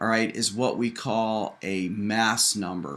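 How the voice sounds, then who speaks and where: At a very slow pace, a man talks in a medium pitch. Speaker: chemistry teacher. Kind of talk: lecture. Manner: hesitant fillers.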